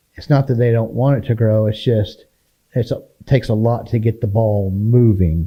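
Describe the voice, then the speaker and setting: Somewhat breathy and dark, mellow in tone, a man with an American accent speaks at a medium pitch and a moderate pace, with ordinary pitch variation. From Oklahoma (Checotah). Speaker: local businessman and civic volunteer. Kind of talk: casual interview chat.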